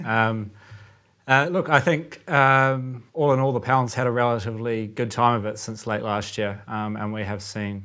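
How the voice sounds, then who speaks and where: A man with a New Zealand accent, at a medium pitch and moderate pace, his tone bright and sharp, his intonation fairly even. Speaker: currency trader. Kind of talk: casual chat. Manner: halting, many fillers.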